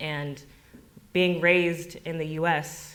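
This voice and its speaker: Heard with audible room echo, a woman speaks with monotone, flat intonation in a General American accent. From US, Denver area. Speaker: farmer and storyteller. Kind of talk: personal storytelling at community event.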